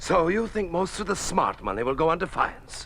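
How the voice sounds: Putting on a character voice, a man speaks at a moderate pace in a high pitch with big pitch swings, vocal fry and a fairly bright tone.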